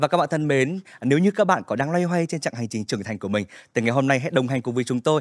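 Very fast speech with lively intonation, a dry sound with no echo, and a quiet background. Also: man. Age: young. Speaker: podcast host. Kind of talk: podcast interview hosting. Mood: warm, polite. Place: studio. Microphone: studio mic.

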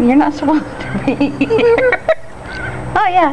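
Over noticeable background noise, the speaker talks at a fairly slow pace. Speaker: homeowner feeding ducks. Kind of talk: casual talk to animals while filming. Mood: playful, affectionate. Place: garden. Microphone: phone near.

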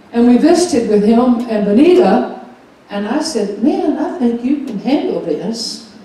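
Strong room echo surrounds a woman whose high-pitched voice moves with lively intonation at a moderate pace. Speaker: pastor. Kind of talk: church announcements. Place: church.

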